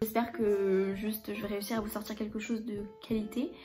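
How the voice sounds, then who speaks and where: Delivered at a fairly quick pace in monotone, flat intonation, the speech carries audible room echo with music in the background. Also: woman. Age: 20s. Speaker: book YouTuber. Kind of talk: casual vlog, book haul. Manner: hesitant, lots of filler 'euh'.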